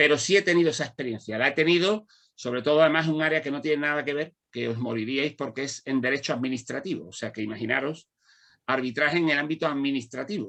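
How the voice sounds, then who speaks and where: Very fast and bright, the man's voice has a sharp tone and a fairly high pitch. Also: ordinary pitch variation. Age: 60s. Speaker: law lecturer and mediator. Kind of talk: panel discussion. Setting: conference with audience.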